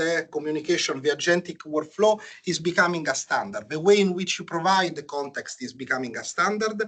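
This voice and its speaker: A man with a high pitch, ordinary pitch variation and an Italian accent. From Italy. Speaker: software engineer presenter. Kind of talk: technical talk. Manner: hesitant, many fillers.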